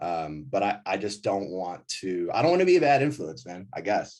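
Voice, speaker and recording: A man speaks in a plain, everyday voice at a fairly quick pace, his fairly low pitch moving with lively intonation. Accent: American. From US Midwest, suburbs of Milwaukee, Wisconsin. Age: 30s. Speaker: ski company founder. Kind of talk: casual chat. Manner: casual, many fillers and restarts.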